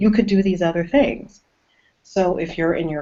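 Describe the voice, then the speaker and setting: With an American accent, a woman speaks in an unremarkable speaking voice with ordinary pitch variation. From US South. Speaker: horror author. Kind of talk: casual interview. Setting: video call.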